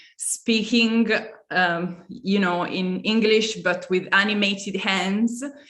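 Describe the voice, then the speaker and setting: Speaking very slowly in an Italian accent, a woman keeps a medium pitch and a monotone, flat intonation. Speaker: curator. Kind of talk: panel discussion.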